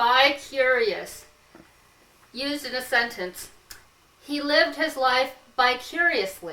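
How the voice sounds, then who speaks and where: Speaking very slowly with an American accent, a woman has a high pitch, and noticeable background noise can be heard. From US West Coast, Santa Clara County, California. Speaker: comedic show host. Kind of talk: comedic casual chat.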